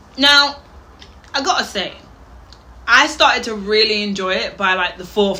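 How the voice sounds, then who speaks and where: Lively intonation marks a woman's speech, heard with noticeable background noise and audible room echo. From Wales, Birmingham area. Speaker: reaction youtuber. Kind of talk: reaction commentary.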